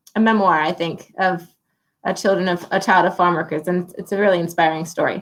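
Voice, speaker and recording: A woman with an Ohio accent and fairly even intonation. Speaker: livestream host. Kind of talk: casual interview chat.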